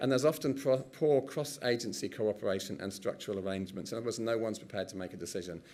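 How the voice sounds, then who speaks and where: Speaking very fast at a medium pitch with ordinary pitch variation, a man is heard with audible room echo. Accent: English. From England. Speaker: professor. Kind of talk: conference presentation.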